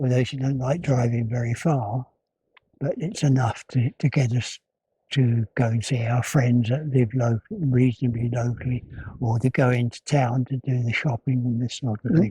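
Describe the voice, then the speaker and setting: The tone is dark and mellow, somewhat breathy, with fairly even intonation. It moves at a moderate pace in a dry, close sound with no echo. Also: man, medium pitch for a man. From Essex, England. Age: 80s+. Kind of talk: interview answer. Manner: hesitant.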